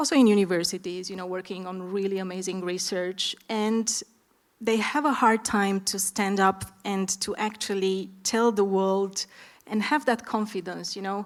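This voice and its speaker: On a very clean recording with a silent background, a woman with an Eastern European accent talks at a moderate pace in a medium pitch with fairly even intonation. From Romania. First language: Romanian. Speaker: startup founder, panelist. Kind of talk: panel discussion.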